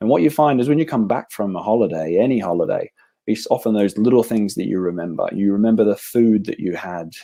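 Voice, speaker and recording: Speaking with an Australian accent at a fairly quick pace, this voice has a dark, mellow tone and ordinary pitch variation. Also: man. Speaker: travel company representative. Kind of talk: sales presentation.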